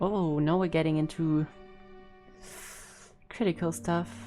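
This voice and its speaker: Over music in the background, a woman speaks at a very slow pace in a fairly low pitch with lively intonation. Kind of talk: game reaction commentary.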